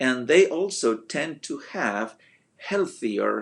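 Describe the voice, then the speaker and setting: A man with a non-native accent, speaking at a very slow pace. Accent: noticeable foreign. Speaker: motivational speaker. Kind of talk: motivational talk. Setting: Facebook live video. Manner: hesitant with fillers.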